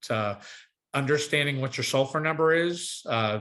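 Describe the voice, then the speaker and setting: Ordinary pitch variation marks a man's medium-pitched voice, which has a bright, sharp tone. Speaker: agronomist and sports field specialist. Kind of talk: webinar presentation. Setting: online webinar. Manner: fast.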